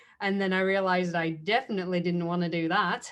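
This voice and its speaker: A woman speaks with a British accent at a moderate pace. The background is quiet. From UK. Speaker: chemist and STEAM mentor. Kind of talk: panel discussion.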